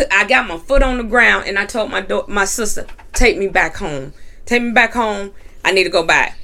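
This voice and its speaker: Bright and sharp in tone, a woman speaks with an American accent at a medium pitch. Her intonation is lively and her pace moderate. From North Carolina. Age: 40s. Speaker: entrepreneur and minister. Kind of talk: testimony.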